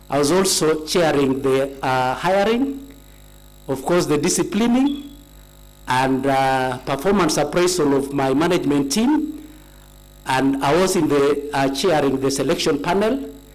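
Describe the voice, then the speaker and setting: Room echo is audible as a man with a fairly high voice talks at a fairly slow pace. His loudness stays very even, and his pitch varies in an ordinary way. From Kenya, Kericho county. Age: 60s. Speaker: nominee being vetted, retired tea company manager. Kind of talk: formal testimony at vetting hearing. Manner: formal, with hesitations.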